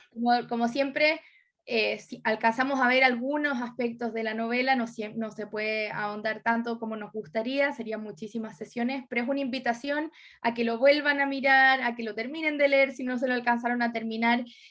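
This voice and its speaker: At a fairly quick pace, a woman talks at a high pitch with fairly even intonation. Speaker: writer and literature professor. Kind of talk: book club discussion. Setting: video call.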